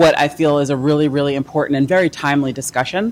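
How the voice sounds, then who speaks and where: A woman speaks in a very deep, low voice with fairly even intonation. Noticeable background noise runs through the recording. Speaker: panel presenter, housing finance expert. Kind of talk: conference presentation. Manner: loud.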